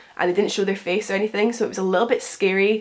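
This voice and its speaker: A woman's flat, monotone delivery amid noticeable background noise. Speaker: lifestyle youtuber. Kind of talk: casual Q&A vlog.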